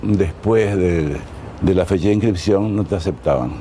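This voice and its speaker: A man with a very deep, low voice speaks at a moderate pace with ordinary pitch variation over noticeable background noise. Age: 80s+. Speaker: artist interviewed about his life. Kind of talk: life-story interview. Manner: hesitant with fillers.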